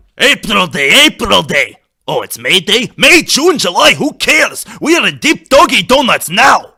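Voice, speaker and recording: Adopting a put-on character voice, the man pitches it extremely high. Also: moderate pace. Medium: solo performance.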